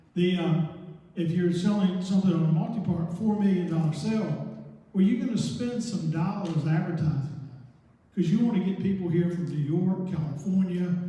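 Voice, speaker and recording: Noticeable background noise sits behind a man with a Southern US accent. He speaks at a moderate pace in a high pitch with fairly even intonation. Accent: American Southern. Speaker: licensed auctioneer and company president. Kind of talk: public talk to a real estate investor group. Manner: casual, conversational, with asides.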